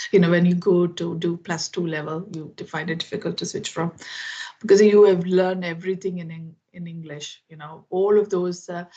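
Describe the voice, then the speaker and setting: In a Keralan accent, a woman with a fairly low voice speaks at a moderate pace with a monotone, flat intonation and big swings in loudness. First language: Malayalam. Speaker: IT professional, English learner. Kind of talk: casual chat. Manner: halting.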